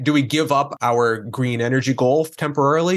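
Against a quiet background, a man with an American accent and an ordinary speaking voice talks at a medium pitch with ordinary pitch variation. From US Northeast (northern Maine). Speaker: energy consultant. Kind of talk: interview.

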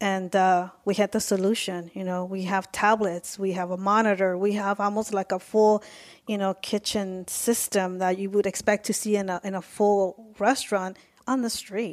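At a moderate pace, a woman with an American accent speaks with monotone, flat intonation in a very clean recording with a silent background. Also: medium pitch for a woman. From Mexico, raised in the US. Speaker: food company co-founder. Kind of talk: interview.

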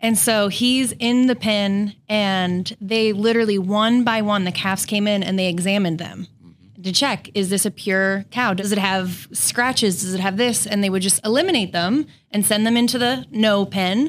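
A woman with an unremarkable speaking voice talks at a moderate pace and medium pitch, with ordinary pitch variation. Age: 30s. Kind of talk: casual chat.

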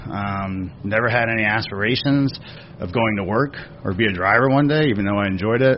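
Noticeable background noise under a fairly quick-paced man in an American accent. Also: fairly low pitch for a man, ordinary pitch variation. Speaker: racing operations director. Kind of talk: casual interview.

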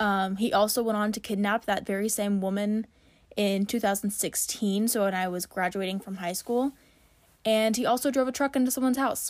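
With a plain, everyday voice, a woman speaks at a moderate pace and medium pitch on a very clean recording with a silent background. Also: fairly even intonation. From Kansas, US Midwest. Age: 20s. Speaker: true crime podcaster. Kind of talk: casual chat, solo podcast. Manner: casual, chatty, rambling.

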